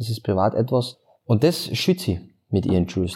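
The voice has a dark, mellow tone, captured in a very clean recording against a silent background. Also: man. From Austria, Carinthia (Klagenfurt). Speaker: influencer and musician. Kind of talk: casual interview chat. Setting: office.

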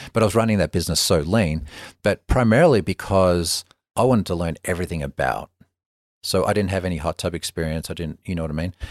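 A man with an Australian accent speaks at a very fast pace in a very deep, low pitch, with ordinary pitch variation. The recording is very clean with a silent background and a dry, close sound with no echo. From Melbourne, Australia. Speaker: spa company businessman. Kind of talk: casual interview chat. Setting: in person, Bozeman. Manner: conversational, relaxed.

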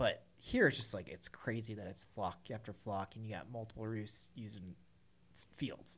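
A fairly low-pitched man with an American accent and big swings in loudness. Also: moderate pace. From US Midwest, Missouri. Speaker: firearms company staff, waterfowl hunter. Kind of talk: casual chat. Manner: animated.

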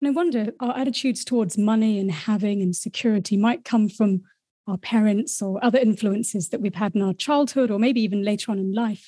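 A woman's somewhat breathy voice, fairly high in pitch, with a dark, mellow tone, ordinary pitch variation and a fairly quick pace, on a very clean recording with a silent background. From Wellington, New Zealand. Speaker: podcast co-host, interviewer. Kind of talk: interview.

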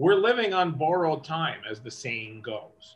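A man's fairly high voice moves through very wide pitch swings. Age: 50s. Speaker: concert business executive, former radio host. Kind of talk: interview. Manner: clear diction with lots of inflection.

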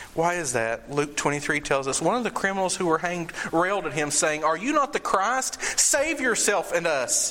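Against noticeable background noise, a man with a high voice speaks in a solemn tone at a moderate pace, his pitch swinging very widely. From Eastern Kentucky, Appalachia. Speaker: preacher. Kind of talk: sermon from the pulpit, expository preaching on John 19 with call-and-response. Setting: church. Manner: conversational, mixes humor and asides with solemn emphasis.

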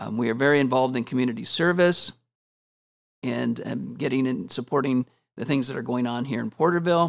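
Here is a man with an American accent and a plain, everyday voice, pitched at a medium level with ordinary pitch variation. He talks at a fairly quick pace. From Washington State. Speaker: school principal. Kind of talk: interview.

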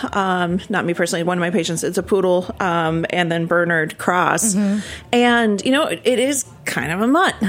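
A woman with an American accent uses a normal speaking voice at medium pitch, with ordinary pitch variation, a moderate pace and very even loudness. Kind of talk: casual interview chat. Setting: studio.

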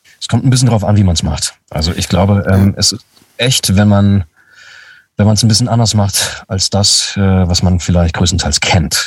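Somewhat breathy male voice with fairly low pitch. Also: ordinary pitch variation, moderate pace. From Lower Saxony, Germany (Braunschweig). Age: 30s. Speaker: voice actor. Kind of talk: casual chat.

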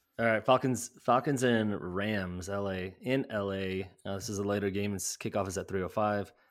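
A man with an American accent and an ordinary speaking voice, fairly low in pitch, at a moderate pace with hardly any pauses and fairly even intonation, on a very clean recording with a silent background. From US Midwest, Chicago area. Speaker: fantasy football podcast host. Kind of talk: casual sports chat.

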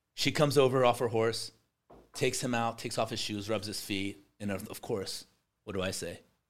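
A man with an American accent speaks at medium pitch and a moderate pace, in an animated tone. His loudness swings widely, long pauses come often, and the recording is very clean with a silent background. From Iran, emigrated to the US as a child in the early 1980s. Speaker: construction company executive. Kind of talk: casual interview.

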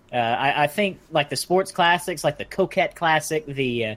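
This man's speech moves at a moderate pace. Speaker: podcast co-host. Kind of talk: casual chat.

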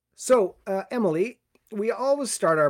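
The speaker talks at a moderate pace with a Canadian accent. The recording is very clean, with a silent background. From New Brunswick, Canada (Sackville). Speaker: podcast host, cellist. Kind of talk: casual interview.

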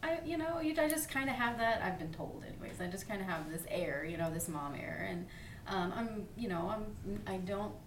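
Over noticeable background noise, a woman at medium pitch speaks at a moderate pace with very wide pitch swings. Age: 30s. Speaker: massage therapist and yoga teacher. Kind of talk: casual interview chat.

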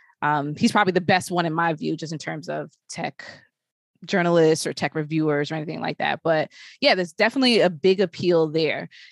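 A woman with an American accent and an ordinary speaking voice talks at a fairly quick pace with ordinary pitch variation, in a dry, close sound with no echo. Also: fairly low pitch for a woman. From Brooklyn, New York. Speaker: podcast host and tech journalist. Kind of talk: casual chat.

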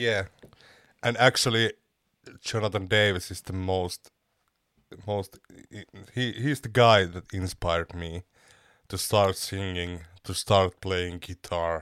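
In a very clean recording with a silent background and a dry, close sound with no echo, a man speaks at a very deep, low pitch and a very slow pace, with fairly even intonation, long, frequent pauses and big swings in loudness. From Finland. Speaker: metal band vocalist. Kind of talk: casual interview. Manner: halting, searching for words.

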